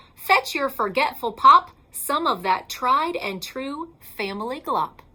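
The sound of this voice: In a put-on character voice, a woman speaks at a slow pace with high pitch, a bright, sharp tone and lively intonation.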